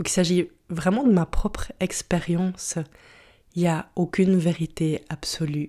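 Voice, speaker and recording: Fairly low in pitch with a dark, mellow tone, a woman speaks at a fairly slow pace. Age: 30s. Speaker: podcast host, personal development coach. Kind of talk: solo podcast monologue. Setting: home recording at computer. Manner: halting.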